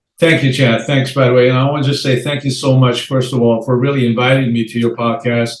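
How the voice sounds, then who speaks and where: Someone talks at a very fast pace with hardly any pauses. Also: man, medium pitch for a man. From Iran. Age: 60s. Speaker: real estate investor and entrepreneur. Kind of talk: podcast interview. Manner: energetic.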